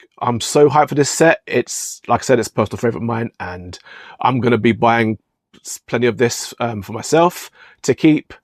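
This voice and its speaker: In a very clean recording with a silent background, a man with a British accent talks at a fairly quick pace with ordinary pitch variation. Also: dry, close sound with no echo. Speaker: card shop owner and YouTuber. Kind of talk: casual vlog rant. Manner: fast; hesitant, many ums and repeats.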